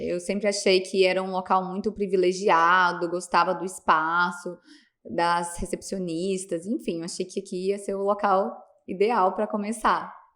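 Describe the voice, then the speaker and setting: With an unremarkable speaking voice, a woman talks at a fairly slow pace and medium pitch, keeping her intonation fairly even. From Minas Gerais, Brazil (Piuí). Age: 30s. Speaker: pediatrician. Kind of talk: podcast interview.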